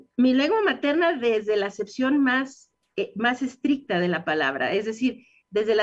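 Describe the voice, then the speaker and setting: Lively intonation from a woman, her speech fairly slow. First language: English (speaking Spanish). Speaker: dentist. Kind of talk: radio interview.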